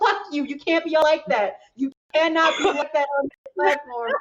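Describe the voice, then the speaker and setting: This woman talks at a fairly quick pace. Her intonation is lively. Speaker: voice actor and anime content creator. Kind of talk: panel discussion. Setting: live stream panel. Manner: fast.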